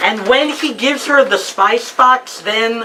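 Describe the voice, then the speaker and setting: A woman speaks at a fairly slow pace in an animated tone, with noticeable background noise. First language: Judeo-Spanish (Ladino). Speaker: professor. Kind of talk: lecture.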